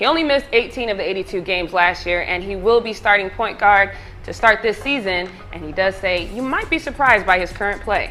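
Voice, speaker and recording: Music plays behind a fairly quick, energetic voice with lively intonation. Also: woman, medium pitch for a woman. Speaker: sports reporter. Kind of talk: sports news broadcast reel. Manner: energetic, conversational.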